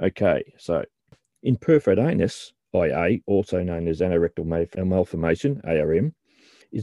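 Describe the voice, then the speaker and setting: A man talks with an Australian accent. His intonation is lively. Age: 50s. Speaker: podcast host and author. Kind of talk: scripted narration.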